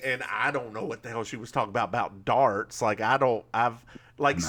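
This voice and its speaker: A man's bright, sharp voice in a North Carolina mountain accent, medium pitched, at a fairly quick pace, with fairly even intonation and big swings in loudness. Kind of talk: casual, colloquial.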